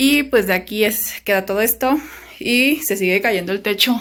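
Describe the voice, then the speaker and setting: A woman's medium-pitched voice with ordinary pitch variation, very cleanly recorded against a silent background. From Mexico, Pacific coast (Zihuatanejo, Guerrero). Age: 30s. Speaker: vlogger. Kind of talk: casual vlog narration.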